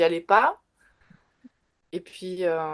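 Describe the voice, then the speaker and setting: Very slowly, a woman speaks in a fairly low pitch. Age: 40s. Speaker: tattoo artist and tarot reader. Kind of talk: interview. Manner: halting, many fillers.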